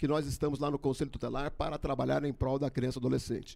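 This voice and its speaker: There is noticeable vocal fry. The recording is very clean, with a silent background. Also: man. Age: 60s. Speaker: election candidate. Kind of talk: debate statement. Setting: studio.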